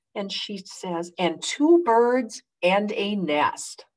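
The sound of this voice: An unforced reading voice comes over a quiet background.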